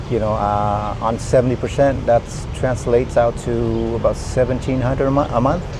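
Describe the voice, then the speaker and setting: A man speaks with noticeable background noise. The room echo is audible. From Vietnam-born, raised in US. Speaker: military veteran. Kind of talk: casual interview. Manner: halting, many fillers.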